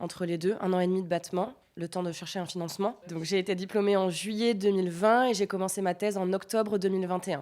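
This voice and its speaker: This woman talks very fast at a medium pitch. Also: fairly even intonation. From France, countryside near Grenoble. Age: 20s. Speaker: PhD student in epidemiology. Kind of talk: podcast interview.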